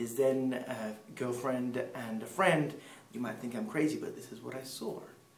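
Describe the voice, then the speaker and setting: Ordinary pitch variation at a moderate pace, amid audible room echo and noticeable background noise. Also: man. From Peru, English parents. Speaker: missionary speaker. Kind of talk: personal testimony.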